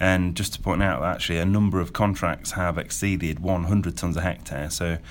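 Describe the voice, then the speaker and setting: A man talks at a fairly quick pace in a very deep, low voice. Vocal fry runs through his speech. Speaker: sugar factory manager. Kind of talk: radio interview. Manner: upbeat, proud.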